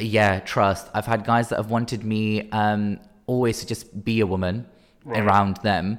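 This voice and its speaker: A man speaks at a fairly low pitch and a fairly slow pace. The recording is very clean, with a silent background. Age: 20s. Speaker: dancer. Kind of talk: casual chat. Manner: animated.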